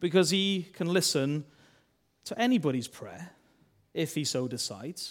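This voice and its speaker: Here a man with a Welsh accent and a fairly high pitch uses lively intonation on a very clean recording with a silent background. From Wales. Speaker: church minister. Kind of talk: sermon. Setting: church.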